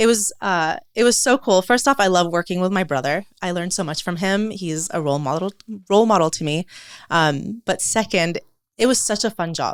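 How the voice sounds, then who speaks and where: In a very clean recording with a silent background, a woman with a Californian accent talks at a fairly quick pace, at a medium pitch with ordinary pitch variation. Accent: Californian American English. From California, after early childhood in Lebanon. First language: Arabic and French. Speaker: entrepreneur and floral designer. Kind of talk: podcast interview.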